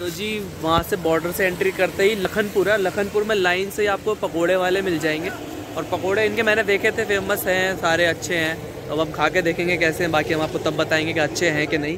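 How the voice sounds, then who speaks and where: Against noticeable background noise, a man with a high voice speaks at a moderate pace and fairly even intonation, the sound dry with no echo. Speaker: travel vlogger. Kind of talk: casual vlog chat. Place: street. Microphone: phone near.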